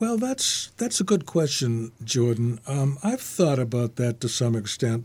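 On a very clean recording with a silent background, a man speaks at medium pitch with lively intonation, a somewhat breathy sound and hardly any pauses. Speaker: memoirist and retired lawyer. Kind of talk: storytelling interview. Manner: halting, filler-heavy.

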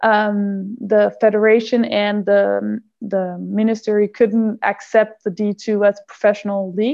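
A woman with a Danish accent speaks at a fairly slow pace with hardly any pauses. Her medium pitch stays in monotone, flat intonation. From Denmark. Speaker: handball player. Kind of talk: interview. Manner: halting.

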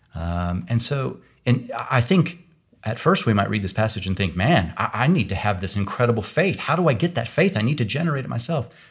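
A somewhat breathy, fairly quick voice with an American accent and very wide pitch swings, on a very clean recording with a silent background. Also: man, medium pitch for a man. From US Midwest, Kansas. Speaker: Bible scholar, professor. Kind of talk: theological discussion.

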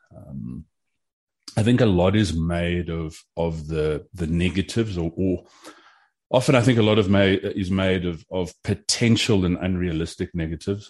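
Speaking with a South African accent, a man has a very deep, low pitch and ordinary pitch variation. His pace is moderate, and the background is quiet. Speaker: competition shooter and gun commentator. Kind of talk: casual interview chat.

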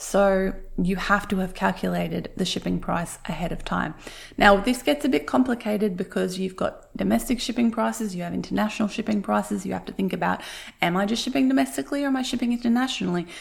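Very fast and with very wide pitch swings, a woman speaks at medium pitch in an Australian accent, with vocal fry. The recording is very clean, the background silent. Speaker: podcast host, handmade business coach. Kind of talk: tutorial.

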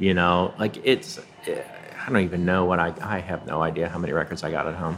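A man with a very deep, low pitch speaks against noticeable background noise. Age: 50s. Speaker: record store owner. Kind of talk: casual interview chat. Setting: cafe back room.

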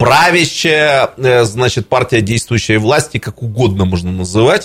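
A somewhat breathy man at a medium pitch, fairly slow in pace, with lively intonation. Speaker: political analyst and commentator. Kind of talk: talk radio discussion. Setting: studio.

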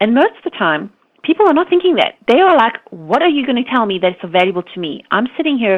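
A woman's fairly high voice, fast-paced, with big swings in pitch

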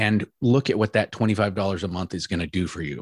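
In a very clean recording with a silent background and a dry, close sound with no echo, a man with a normal speaking voice talks at a moderate pace, fairly low in pitch with ordinary pitch variation. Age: 50s. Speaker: entrepreneur and retirement coach. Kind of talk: casual interview.

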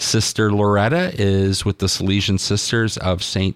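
A man speaks at a fairly low pitch. He has a normal speaking voice. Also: very clean recording, silent background. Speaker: radio host. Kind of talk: devotional radio program, reading a homily. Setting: studio.

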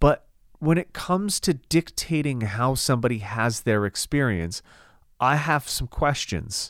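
A man talks in an animated tone, his pitch swinging very widely. The recording is very clean, with a silent background. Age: 30s. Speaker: podcast co-host, fitness business owner. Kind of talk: casual chat.

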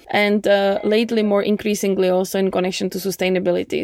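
Noticeable background noise sits behind a woman speaking at a very fast pace. Her pitch is medium and her intonation fairly even. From Czech Republic. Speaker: startup innovation platform CEO. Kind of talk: interview.

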